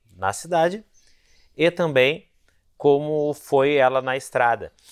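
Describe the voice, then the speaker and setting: Over a quiet background, the man keeps to a fairly slow pace. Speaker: motorcycle reviewer. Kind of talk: review intro talk to camera. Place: garage. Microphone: lapel.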